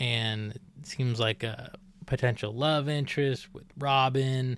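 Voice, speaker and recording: A man at a very slow pace. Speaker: comics podcast host. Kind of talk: casual narration of character backstory. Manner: casual, filler-heavy.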